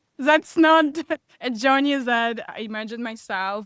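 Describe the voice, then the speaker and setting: The recording of a woman with a Russian accent is dry and close, with no echo. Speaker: business and mindset coach. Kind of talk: podcast interview.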